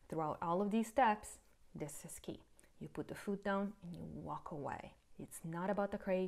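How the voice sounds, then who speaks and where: A woman's normal speaking voice, fairly low in pitch, with ordinary pitch variation and a moderate pace. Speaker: pet care youtuber. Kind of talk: tutorial.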